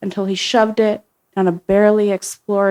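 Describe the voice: Plain reading aloud over a quiet background.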